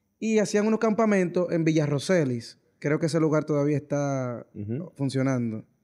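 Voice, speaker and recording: Against a quiet background, a man speaks at a fairly high pitch with a dark, mellow tone. His pace is moderate, with hardly any pauses. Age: 20s. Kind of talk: casual chat.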